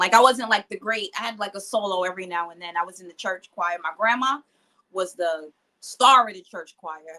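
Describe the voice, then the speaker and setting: A woman in a New York accent, medium pitch, bright, sharp tone, ordinary pitch variation, big swings in loudness and a fairly quick pace. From New York (Queens). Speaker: rapper. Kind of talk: interview.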